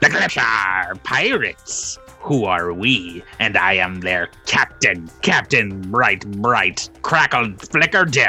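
A put-on character voice at a low pitch and very slow pace, over faint music in the background. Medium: actual play. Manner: slow, repetitive, over-explaining.

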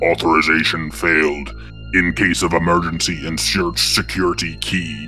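Clear music in the background behind a put-on character voice, moderate in pace. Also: man, very deep, low pitch for a man. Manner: intoning, flat, robotic alert.

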